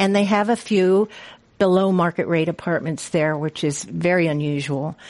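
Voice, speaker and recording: A woman's unremarkable speaking voice, fairly low in pitch with lively intonation, at a moderate pace against a quiet background. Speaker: retirement community marketing director. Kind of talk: panel talk. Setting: stage with audience.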